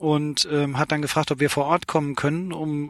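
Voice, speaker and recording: A man with a fairly high pitch speaks at a moderate pace in a dry, close sound with no echo, on a very clean recording with a silent background. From Saarland, Germany. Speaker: sportswear company founder and managing director. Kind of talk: interview. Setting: in a parked car at a sports expo.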